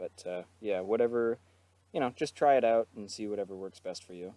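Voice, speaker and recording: A man with a dark, mellow tone at a fairly quick pace. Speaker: guitar teacher. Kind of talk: tutorial. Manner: hesitant with fillers.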